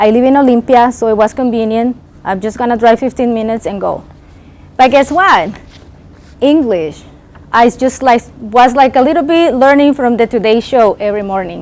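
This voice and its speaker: A woman speaks with a Spanish accent. Her pitch is high. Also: ordinary pitch variation, moderate pace. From Nicaragua. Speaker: keynote speaker. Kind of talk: motivational speech.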